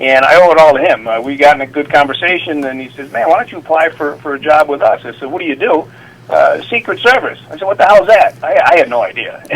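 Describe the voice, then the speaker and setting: A man's fairly high, very fast voice with an American accent, lively intonation and big swings in loudness over noticeable background noise. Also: hardly any pauses. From upstate New York (Utica). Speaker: retired Secret Service officer and Navy veteran. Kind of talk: interview storytelling. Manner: halting, many fillers.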